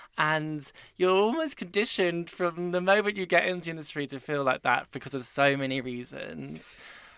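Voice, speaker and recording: Here a man talks at a moderate pace with ordinary pitch variation in an ordinary speaking voice. The recording is very clean, with a silent background. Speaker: podcast host and editor. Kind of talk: casual interview. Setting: podcast booth, studio.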